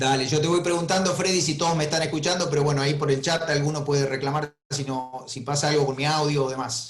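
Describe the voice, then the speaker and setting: In an Argentine accent, a man with a somewhat breathy, fairly high-pitched voice speaks at a very fast pace with fairly even intonation. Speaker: veterinary professor. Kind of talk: webinar lecture. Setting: video call.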